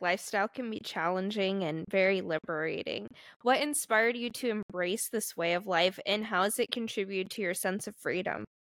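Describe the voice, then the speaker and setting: A woman with an unremarkable speaking voice and medium pitch talks at a fairly quick pace with hardly any pauses and ordinary pitch variation, on a very clean, dry, close recording with no echo and a silent background. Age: 20s. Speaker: podcast host. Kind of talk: casual chat.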